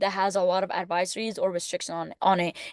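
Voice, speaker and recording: Speaking with a non-native accent, a woman keeps a medium pitch and fairly even intonation. The sound is dry and close, without echo. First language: not English. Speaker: student. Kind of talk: class presentation. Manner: casual, hesitant with fillers.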